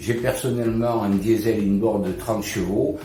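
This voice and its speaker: Music plays in the background as a man speaks with fairly even intonation amid audible room echo. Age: 60s. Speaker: customer reviewing a product. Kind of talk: product review. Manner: hesitant, with frequent fillers.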